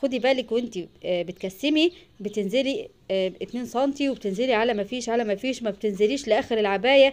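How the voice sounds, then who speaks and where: A woman speaks fairly quickly, her pitch varying in an ordinary way. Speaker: sewing channel host. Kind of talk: tutorial. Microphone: phone near.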